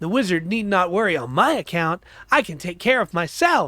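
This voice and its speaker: A man performs a put-on character voice. He goes at a moderate pace on a very clean recording with a silent background. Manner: scoffing, gruff.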